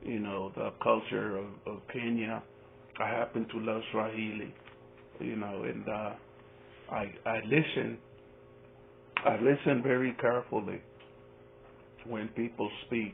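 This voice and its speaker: A man's medium-pitched voice with a Spanish accent, fairly even intonation, a fairly slow pace and long, frequent pauses. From Spanish-speaking country, village. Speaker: YouTube reaction commentator. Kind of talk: casual vlog commentary. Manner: halting, repeats words.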